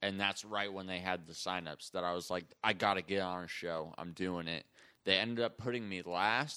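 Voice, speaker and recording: With an American accent, a man with a very deep, low pitch and a bright, sharp tone talks at a moderate pace with fairly even intonation, recorded very cleanly against a silent background. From US. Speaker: comedian. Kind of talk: casual chat.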